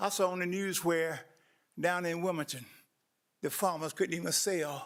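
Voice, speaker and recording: A high-pitched man's voice with a North Carolina accent and fairly even intonation. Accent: Southern US, North Carolina. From US South, eastern North Carolina (Roseboro). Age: 70s. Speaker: community watch president, public speaker. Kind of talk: public comment at a government meeting. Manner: earnest, impassioned.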